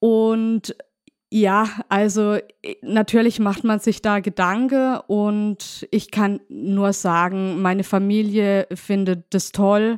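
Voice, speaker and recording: Very slowly and at a very even loudness, a woman speaks at medium pitch with fairly even intonation, in a very clean, dry, close recording with a silent background and no echo. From Baden, southwest Germany (Markgräflerland). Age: 40s. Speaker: daughter of a murder victim. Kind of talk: interview.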